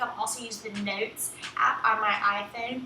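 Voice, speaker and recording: A woman with a strong Southern US accent speaks at a fairly high pitch in a flat monotone, amid noticeable background noise and audible room echo. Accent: thick Southern US. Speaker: writing teacher, copywriter. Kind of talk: online course lesson, tutorial. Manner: casual, many filler ums.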